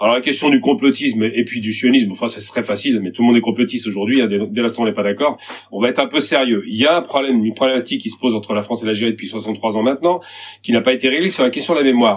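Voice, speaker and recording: This man's voice sits at a medium pitch. He talks at a very fast pace. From Algeria. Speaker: activist debater. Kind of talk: heated debate. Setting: video call.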